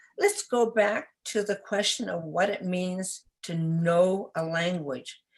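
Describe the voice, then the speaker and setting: A woman in a Cantonese accent at a very slow pace, quiet background. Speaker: literacy expert presenter. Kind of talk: webinar presentation. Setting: online webinar. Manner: halting, with repetitions.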